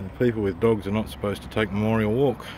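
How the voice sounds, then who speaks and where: Talking at a fairly quick pace with ordinary pitch variation, a man speaks with an Australian accent. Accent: thick Australian. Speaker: vlogger. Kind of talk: casual video tour narration. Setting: outdoors on a windy hill.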